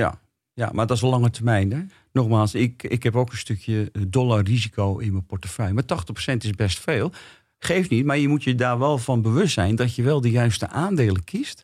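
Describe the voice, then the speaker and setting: A man's somewhat breathy, medium-pitched voice at a moderate pace, with ordinary pitch variation and very even loudness, on a very clean recording with a silent background. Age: 60s. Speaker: experienced investor. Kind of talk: casual interview. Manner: halting.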